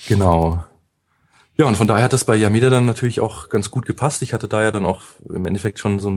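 Very fast in pace, a man talks in a fairly low pitch. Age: 30s. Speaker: SEO consultant. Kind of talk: interview. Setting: studio.

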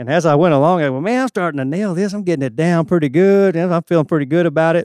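A man speaks with a Southern US accent and ordinary pitch variation, his voice dry and close with no echo against a quiet background. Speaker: church volunteer bass player. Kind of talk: testimony.

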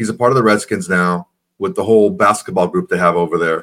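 Lively intonation marks this man's normal speaking voice. His pace is moderate. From Mexican-American family. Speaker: sports podcast co-host. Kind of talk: casual chat.

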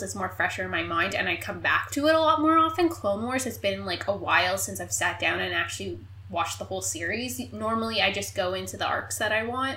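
A woman's voice amid noticeable background noise. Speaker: podcast host. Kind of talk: casual chat.

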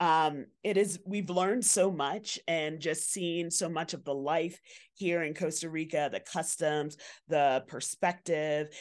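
A woman with an American accent has an unremarkable speaking voice, fairly low in pitch with fairly even intonation. She speaks at a fairly slow pace against a quiet background. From Bronx, New York. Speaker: environmental educator and association president. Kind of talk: casual interview. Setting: outdoor hotel patio.

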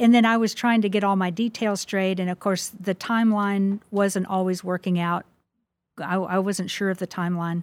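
A woman's medium-pitched voice with a Midwestern accent, monotone and flat, at a moderate pace, in a dry, close sound with no echo. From US Midwest. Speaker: author. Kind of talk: interview.

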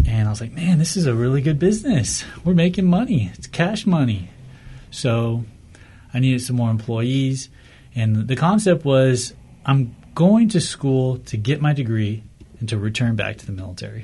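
Somewhat breathy, with an American accent, the speaker moves at a moderate pace using lively intonation and big swings in loudness. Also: man, medium pitch for a man. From Whittier, Southern California. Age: 20s. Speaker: tea business owner, navy veteran. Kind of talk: casual interview.

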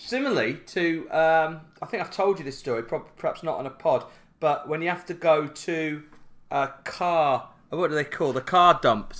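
A man at a fairly high pitch and moderate pace, with ordinary pitch variation, on a very clean recording with a silent background. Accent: South Yorkshire. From Yorkshire, Barnsley. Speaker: podcast co-host. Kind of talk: casual comedic chat.

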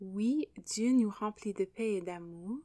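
In an English accent, a woman speaks very slowly at a medium pitch with ordinary pitch variation and a dark, mellow tone. The recording is very clean with a silent background and a dry, close sound with no echo. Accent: English-speaking accent in French. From English Canada. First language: English (speaking French). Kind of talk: devotional podcast monologue.

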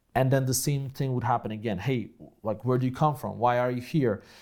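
This man talks at a medium pitch with a Polish accent. The recording is very clean, with a silent background. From Poland. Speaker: online entrepreneur and speaker. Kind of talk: interview conversation. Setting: in person, same room as host. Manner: animated, laughs often.

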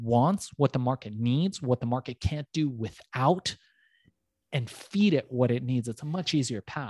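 A man with an American accent and a plain, everyday voice, medium in pitch with ordinary pitch variation, at a fairly slow pace, in a dry, close sound with no echo. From US West Coast, emigrated from Iran at age four or five. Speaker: entrepreneur and business coach. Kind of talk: interview. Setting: remote interview, host on other coast.

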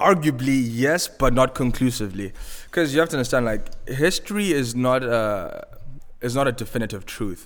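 Lively intonation from a man with a Zimbabwean accent, at a moderate pace. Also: medium pitch for a man. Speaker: music manager and tech business developer. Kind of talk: casual chat.

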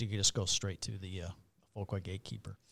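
A man's bright, sharp tone comes through in a very clean recording against a silent background. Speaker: pilot, safety committee chair. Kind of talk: interview discussion.

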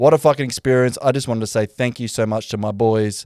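At a fairly quick pace, a man with an Australian accent speaks in a medium pitch, the sound dry and close with no echo. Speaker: podcast host. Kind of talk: casual chat.

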